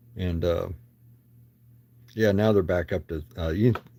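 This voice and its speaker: Mumbling, a man speaks in a very deep, low pitch with a dark, mellow, somewhat breathy tone. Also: very clean recording, silent background. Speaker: card collector livestreamer. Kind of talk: casual chat. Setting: livestream.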